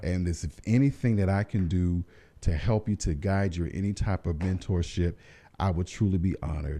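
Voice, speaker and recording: Against the silent background of a very clean recording, a man with an American accent speaks at a fairly quick pace in a very deep, low voice, his tone dark and mellow and his pitch varying in an ordinary way. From US South, Columbia, South Carolina. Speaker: social worker, foundation founder. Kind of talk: radio interview. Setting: radio studio. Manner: animated.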